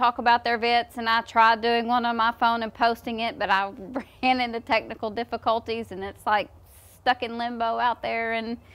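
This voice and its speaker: A woman speaks in a high pitch at a moderate pace. Her tone is bright and sharp. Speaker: horse trainer. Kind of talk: casual explanatory talk. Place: farm machine.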